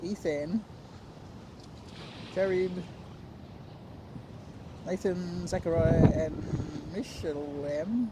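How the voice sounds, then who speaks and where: Speaking with an Australian accent, a woman talks very slowly at a fairly low pitch with ordinary variation and long, frequent pauses, over noticeable background noise. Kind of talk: scripture reading. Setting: outdoors.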